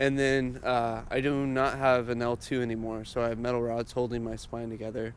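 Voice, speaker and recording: In an American accent, a man speaks fairly quickly at a medium pitch, monotone and flat with hardly any pauses, in a room with audible echo. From California (Bakersfield). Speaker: metal band member. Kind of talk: interview storytelling.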